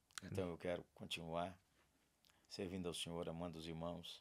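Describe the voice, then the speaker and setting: A man speaks fairly slowly in a very deep, low pitch. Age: 60s. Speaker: pastor. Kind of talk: podcast interview. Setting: studio.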